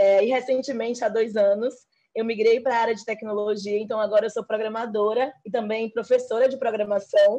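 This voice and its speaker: Over a quiet background, a woman with a Bahian accent speaks at a fairly high pitch in a dark, mellow tone. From Bahia, Brazil. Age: 30s. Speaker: programmer and programming teacher. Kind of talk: panel discussion.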